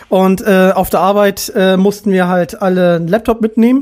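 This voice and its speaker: A woman talks at a moderate pace in a dark, mellow tone with a medium pitch. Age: 20s. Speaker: podcast host. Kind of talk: casual chat.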